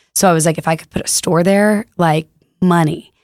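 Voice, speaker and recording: A woman with an American accent and an unremarkable speaking voice talks at a fairly quick pace in a fairly low pitch, on a very clean recording with a silent background and a dry, close sound with no echo. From Texas, Fort Worth. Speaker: retail store co-founder. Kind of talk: casual chat. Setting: studio.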